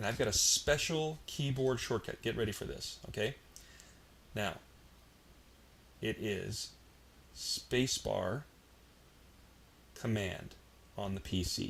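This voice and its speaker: Very slow speech from a man, broken by long, frequent pauses. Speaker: software tutorial instructor. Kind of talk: tutorial. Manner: casual, filler-heavy.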